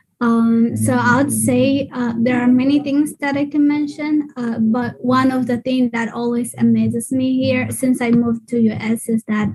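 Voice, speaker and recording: A high-pitched female voice, monotone and flat, at a moderate pace with hardly any pauses, over noticeable background noise. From Ethiopia. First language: Afan Oromo. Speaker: early math program trainer. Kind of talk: panel discussion. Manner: halting, many fillers.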